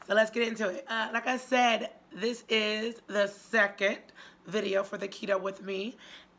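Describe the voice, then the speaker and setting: A woman speaks at a moderate pace in a fairly high voice. Background noise is noticeable. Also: fairly even intonation. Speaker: YouTube diet vlogger. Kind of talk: casual vlog talk.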